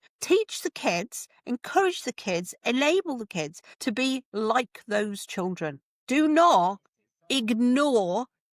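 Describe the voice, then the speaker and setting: A woman with a northern English accent speaks at a fairly slow pace in a fairly high voice with very wide pitch swings, in a very clean, dry, close recording with a silent background and no echo. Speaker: home education advocate. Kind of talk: podcast interview. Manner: animated.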